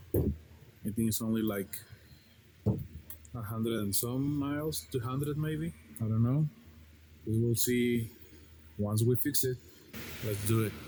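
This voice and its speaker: A man speaks at a medium pitch, somewhat breathy. His intonation is lively, broken by long, frequent pauses. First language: not English. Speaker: DIY repairer. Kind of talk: casual repair tutorial talk.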